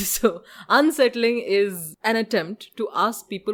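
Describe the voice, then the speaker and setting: In a very clean recording over a silent background, a woman talks in an animated tone with lively intonation. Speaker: podcast host. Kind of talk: interview. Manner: peppy.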